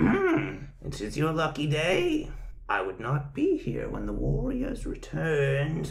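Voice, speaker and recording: In a put-on character voice, a man talks fairly slowly at a fairly high pitch. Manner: warning.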